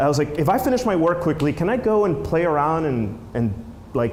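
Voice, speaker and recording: Fairly high for a man, his voice swings very widely in pitch. Audible room echo can be heard. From Peru, moved to New Jersey as a child. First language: Spanish. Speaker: filmmaker and app creator, conference speaker. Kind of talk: conference talk. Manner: casual, many fillers and restarts.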